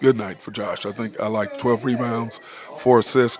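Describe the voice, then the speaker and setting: The speech moves at a moderate pace in a monotone, flat delivery over noticeable background noise. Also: man. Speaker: sports radio host. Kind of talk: sports talk show. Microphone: muffled.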